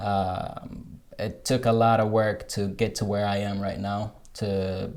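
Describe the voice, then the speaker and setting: A man with an American accent speaks at a fairly slow pace in a fairly low pitch, his intonation fairly even, with audible room echo. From Morocco, Rabat. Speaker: software developer, digital nomad. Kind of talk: interview. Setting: coworking space. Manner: halting, frequent fillers and repeats.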